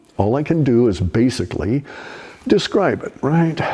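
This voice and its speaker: Noticeable background noise sits behind a man speaking at a fairly slow pace with very wide pitch swings. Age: 70s. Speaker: online commentator. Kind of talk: casual monologue. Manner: halting.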